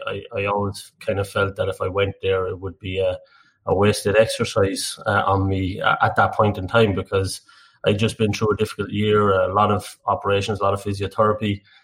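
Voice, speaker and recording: In an Irish Midlands accent, the speaker talks fairly quickly with monotone, flat intonation in a very clean recording with a silent background. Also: man, fairly low pitch for a man. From Ireland, Tullamore (County Offaly). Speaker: energy industry director. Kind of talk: podcast interview. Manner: halting.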